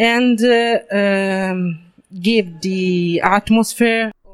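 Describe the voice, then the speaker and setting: The speech comes at a very slow pace. It carries an Italian accent. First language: Italian (speaking French). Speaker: comic book artist. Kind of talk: interview. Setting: comics convention. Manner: halting, many fillers.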